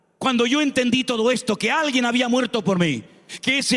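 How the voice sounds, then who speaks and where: Speaking at a fairly quick pace, a man has an animated tone. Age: 60s. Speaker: pastor. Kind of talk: sermon.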